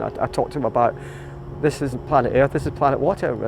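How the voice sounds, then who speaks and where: There is noticeable background noise. A man speaks at a very fast pace. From Scotland, Glasgow. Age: 60s. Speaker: volunteer boat skipper and children's author. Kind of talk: casual interview monologue. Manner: hesitant with repetitions.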